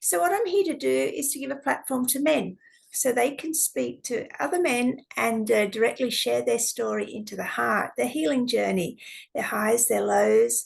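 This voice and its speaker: At a moderate pace, a woman speaks in an Australian accent. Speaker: podcast host. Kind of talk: podcast intro.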